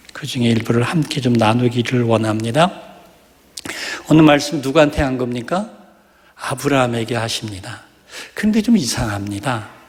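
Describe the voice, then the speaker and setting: With noticeable background noise and audible room echo, a man talks in an animated tone at medium pitch, using ordinary pitch variation and long, frequent pauses. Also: moderate pace. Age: 60s. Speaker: pastor. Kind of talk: sermon.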